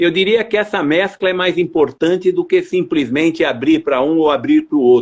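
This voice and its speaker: This man's voice sits high in pitch, with lively intonation, very even loudness and hardly any pauses. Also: moderate pace. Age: 60s. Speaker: university rector. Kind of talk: interview.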